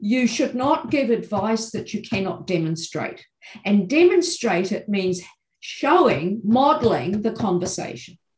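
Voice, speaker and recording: A woman with a New Zealand accent speaks at a fairly high pitch with very wide pitch swings. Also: fairly slow pace. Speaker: education professor. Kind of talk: interview.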